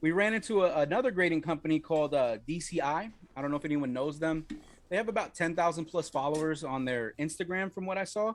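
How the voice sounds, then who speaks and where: A man talks at a very fast pace with a New York accent. His pitch is fairly high, with ordinary variation. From Wyoming. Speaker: card game developer and stream host. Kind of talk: casual livestream update. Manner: casual, hesitant with many fillers.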